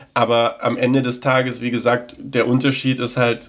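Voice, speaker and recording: A man is speaking at a medium pitch. His intonation is flat and monotone. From Baden-Württemberg, Sindelfingen. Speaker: local politician. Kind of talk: interview.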